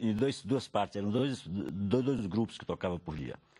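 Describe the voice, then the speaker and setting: At a fairly slow pace, a man speaks in a dark, mellow tone on a very clean recording with a silent background. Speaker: cultural producer. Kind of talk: interview. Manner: halting.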